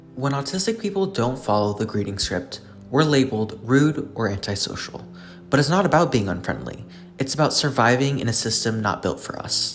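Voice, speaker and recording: Against noticeable background noise, a man speaks at a fairly quick pace in a medium pitch with lively intonation. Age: 20s. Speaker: student video essayist. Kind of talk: scripted narration. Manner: animated.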